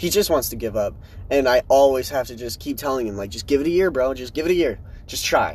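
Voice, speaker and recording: The speech runs at a very fast pace. Its intonation is lively. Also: man, medium pitch for a man. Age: 20s. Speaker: solo podcaster living in his truck. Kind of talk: casual monologue. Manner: rambling, halting.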